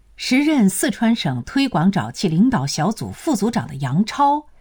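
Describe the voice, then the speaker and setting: Speaking at a fairly slow pace with vocal fry and very wide pitch swings, a woman comes through in a very clean recording with a silent background. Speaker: narrator. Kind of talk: history documentary narration. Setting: studio. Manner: formal, even and authoritative; clear, steady, broadcast-style delivery.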